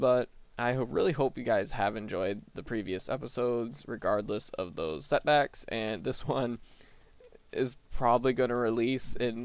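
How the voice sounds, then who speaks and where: Soft-spoken man at a medium pitch, ordinary pitch variation and a moderate pace. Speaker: gaming video creator. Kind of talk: gameplay commentary.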